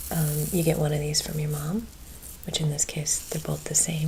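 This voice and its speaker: Soft-spoken and gentle in tone, the speaker goes at a moderate pace against noticeable background noise. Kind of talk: ASMR chat to camera. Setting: close-mic ASMR home recording. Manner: soft-spoken, gentle.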